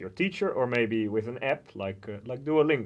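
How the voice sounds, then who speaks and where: At a moderate pace, a man talks with a Dutch accent. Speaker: language center coordinator and student. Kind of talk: informational talk to camera. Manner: hesitant, with frequent filler sounds.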